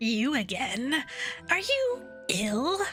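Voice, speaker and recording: A woman uses a put-on character voice pitched high. Clear music plays in the background. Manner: comical, exaggerated.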